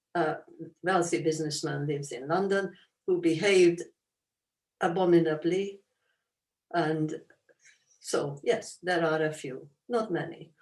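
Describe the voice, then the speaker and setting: Speaking in a Hungarian accent, a woman with a fairly low pitch uses fairly even intonation and long, frequent pauses. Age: 80s+. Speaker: Holocaust survivor, author. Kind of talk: interview Q&A.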